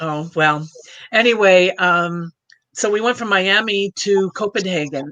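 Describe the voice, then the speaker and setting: Ordinary pitch variation in a plain, everyday voice. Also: woman, medium pitch for a woman, fairly slow pace. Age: 60s. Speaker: cruise travel agent. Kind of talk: casual chat.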